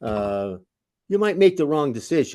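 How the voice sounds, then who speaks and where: A man talks at a moderate speed, with a quiet background behind him. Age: 80s+. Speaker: former prosecutor, defense attorney. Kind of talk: interview conversation. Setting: webinar video call. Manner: halting, many repetitions.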